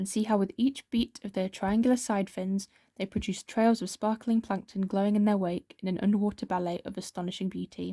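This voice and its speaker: In a British accent, a soft-spoken woman talks very fast at a medium pitch with fairly even intonation and a dark, mellow, somewhat breathy tone. The recording is very clean, with a silent background and a dry, close sound with no echo. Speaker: ASMR creator. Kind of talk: reading aloud.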